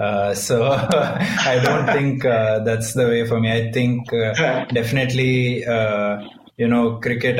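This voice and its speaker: A man with an Indian accent talks at a medium pitch in a monotone, flat delivery over noticeable background noise. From Bangalore, India. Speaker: professional cricketer. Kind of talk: interview answers, casual. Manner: soft-spoken, humble.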